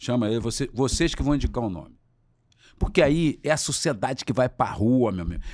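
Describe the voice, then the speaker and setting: The recording is very clean, with a silent background. A man with a medium pitch speaks in an animated tone at a moderate pace, with ordinary pitch variation. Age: 60s. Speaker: trade unionist and former politician. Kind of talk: interview.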